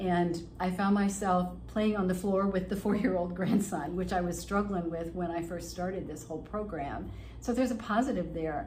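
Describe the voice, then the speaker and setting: A woman speaks at a medium pitch and a moderate pace, with ordinary pitch variation and audible room echo. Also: hardly any pauses. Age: 70s. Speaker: fitness client. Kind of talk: testimonial interview.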